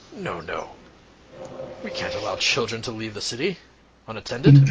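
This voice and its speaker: Using a put-on character voice, a man speaks gruffly at a fairly quick pace and a fairly high pitch. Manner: stern, authoritative.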